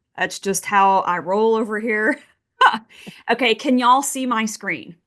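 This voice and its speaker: A woman with a Texas accent and a fairly high pitch, her animated tone carrying ordinary pitch variation, at a fairly slow pace against a quiet background. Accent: Texas Southern US. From Texas, Midland. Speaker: oil and gas investing expert. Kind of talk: webinar presentation. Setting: video call.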